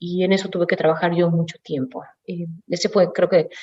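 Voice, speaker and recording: A woman with a normal speaking voice, fairly low pitch and moderate pace. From Mexico City. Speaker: automotive executive. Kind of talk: panel talk.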